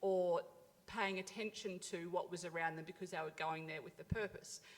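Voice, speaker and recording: With an Australian accent, a woman speaks at medium pitch and a fairly quick pace in monotone, flat intonation. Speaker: health service food program officer. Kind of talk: conference panel discussion. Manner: fast.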